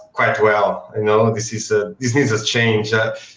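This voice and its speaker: A man with a non-native accent. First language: not English. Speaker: comic book artist. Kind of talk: casual chat. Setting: live stream. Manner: halting.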